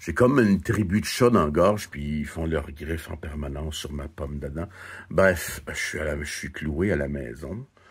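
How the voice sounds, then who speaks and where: A somewhat breathy man's voice, very deep and low, at a moderate pace with big swings in loudness. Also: ordinary pitch variation. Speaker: vlogger. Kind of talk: casual vlog monologue. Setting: at home. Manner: halting, repetitive.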